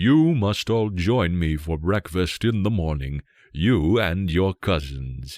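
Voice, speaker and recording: A man does a put-on character voice, very deep and low, with lively intonation at a fairly slow pace. The sound is dry and close with no echo, on a very clean recording with a silent background. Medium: read story.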